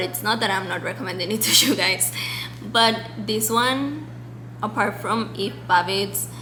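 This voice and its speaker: Amid audible room echo and noticeable background noise, a woman with a Spanish accent and a fairly low pitch speaks at a fairly slow pace, with very wide pitch swings. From Mexico. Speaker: book vlogger. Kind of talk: casual monologue to camera. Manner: chatty, many fillers.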